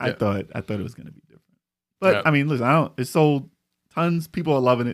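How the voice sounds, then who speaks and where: With big swings in loudness, a man speaks very fast at a fairly high pitch with lively intonation. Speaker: podcast co-host. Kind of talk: casual chat, live stream. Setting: live stream.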